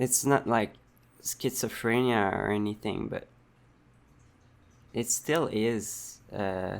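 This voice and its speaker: A man with a strong French-Canadian accent speaks very slowly, with long, frequent pauses. His medium-pitched voice keeps a fairly even intonation. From Quebec. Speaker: vlogger. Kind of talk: personal vlog monologue. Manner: halting, many fillers and restarts.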